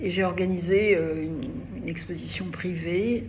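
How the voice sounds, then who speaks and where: A woman speaks at a fairly slow pace with a fairly low pitch. Noticeable background noise and audible room echo fill the recording. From Algeria (Algiers). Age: 80s+. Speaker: feminist activist and cultural figure. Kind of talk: interview. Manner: halting, many hesitations.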